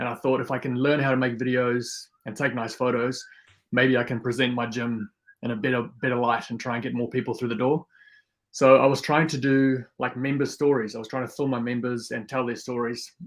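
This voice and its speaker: Speaking at a fairly quick pace with a South African accent, a man holds a medium pitch in monotone, flat intonation against a quiet background. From South Africa, Afrikaans farming community; teens in New Zealand. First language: Afrikaans. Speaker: YouTuber and photographer, former gym owner. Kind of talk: podcast interview. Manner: fast.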